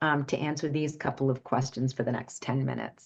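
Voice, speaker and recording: The speaker is a woman. Her pitch sits very deep and low. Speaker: grief therapist and workshop speaker. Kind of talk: online workshop presentation. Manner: fast; hesitant, many fillers and restarts.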